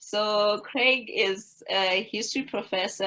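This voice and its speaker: This woman speaks with an African accent. Her pitch varies in an ordinary way. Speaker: webinar moderator. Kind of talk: webinar introduction.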